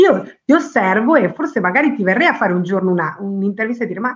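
Talking at a very fast pace, a woman uses a medium pitch with very wide pitch swings. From Argentina. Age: 40s. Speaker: company president, women's career trainer. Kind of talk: interview.

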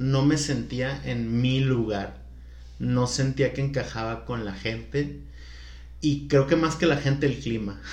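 A man talks at a very slow pace. His voice carries audible room echo. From Culiacán, Sinaloa, Mexico. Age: 30s. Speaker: podcast guest, salesperson. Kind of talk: casual chat.

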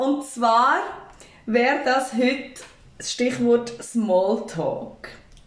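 A woman speaks at a high pitch and a very slow pace, with long, frequent pauses. Audible room echo and noticeable background noise fill the recording. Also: ordinary pitch variation. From Switzerland, Aargau (Endingen). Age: 20s. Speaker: podcast co-host, daycare worker. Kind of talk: casual chat.

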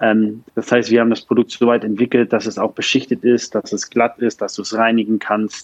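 The speaker talks fairly quickly in a flat monotone, with hardly any pauses. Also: man, medium pitch for a man, dry, close sound with no echo. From northern Germany, Lübeck. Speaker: startup founder and CEO. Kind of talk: interview.

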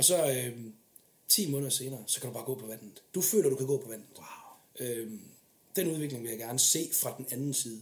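A man talks somewhat breathily at a medium pitch and a moderate pace, with ordinary pitch variation. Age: 20s. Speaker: military police officer. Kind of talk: casual interview chat.

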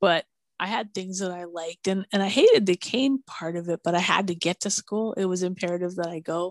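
Against a quiet background, a woman with an American accent uses a plain, everyday voice at a medium pitch and fairly quick pace, her intonation fairly even and the sound dry and close with no echo. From Minneapolis, US Midwest. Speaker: blind podcaster. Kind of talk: casual chat.

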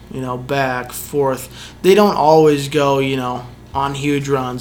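A man with an American accent speaks at a moderate pace with fairly even intonation. There is audible room echo and noticeable background noise. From Reno, Nevada, US. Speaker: fly fishing guide. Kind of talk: casual interview. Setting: on location near a lake lodge.

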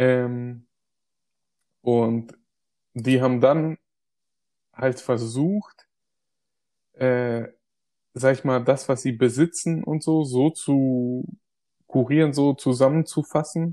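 A man speaks with fairly even intonation and a dark, mellow tone. Long pauses come often, and the sound is dry and close with no echo. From Germany, migrant family background. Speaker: podcast co-host. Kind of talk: casual chat. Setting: remote recording, separate locations.

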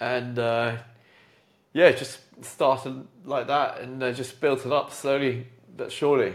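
A man speaks at a medium pitch in a monotone, flat intonation. His pace is fairly slow, with long, frequent pauses. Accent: British. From UK. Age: 40s. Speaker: entrepreneur and jazz pianist. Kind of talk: casual chat. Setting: home piano room.

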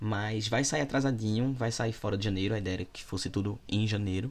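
At a moderate pace, a man speaks in a plain, everyday voice, fairly low in pitch with fairly even intonation. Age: 20s. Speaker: podcast host and content creator. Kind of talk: casual solo monologue answering listener questions. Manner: informal, chatty.

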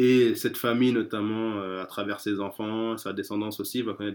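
The speech moves at a moderate pace in a monotone, flat intonation. The recording is very clean, with a silent background. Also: man. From France. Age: 30s. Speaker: street bookseller. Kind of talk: interview. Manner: halting.

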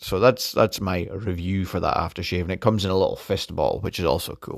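On a very clean recording with a silent background, a man speaks with a Scottish accent at a very deep, low pitch. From Scotland. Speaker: podcaster. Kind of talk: casual monologue. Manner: halting.

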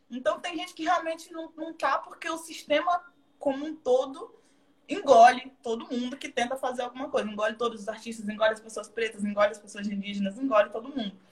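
This woman talks at a fairly quick pace in a high voice, her intonation lively and her loudness swinging widely. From Bahia, Brazil (southern Bahia coast). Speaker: actress and dancer. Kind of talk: casual live stream interview. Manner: talkative.

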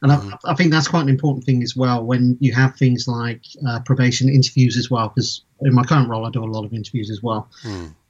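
This man talks at a very fast pace with hardly any pauses, his pitch medium and his intonation fairly even. His voice is somewhat breathy over a quiet background. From Bristol, England. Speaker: technical director. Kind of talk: interview. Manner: hesitant, many fillers.

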